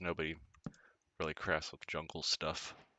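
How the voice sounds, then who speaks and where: The speaker is a man. He talks at a moderate pace. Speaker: gaming video creator. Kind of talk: casual gameplay commentary. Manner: relaxed, conversational.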